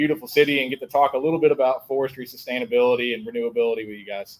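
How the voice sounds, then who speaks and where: Very fast in pace, a man speaks at a medium pitch. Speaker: forestry association advocate. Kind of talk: panel discussion. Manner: loud.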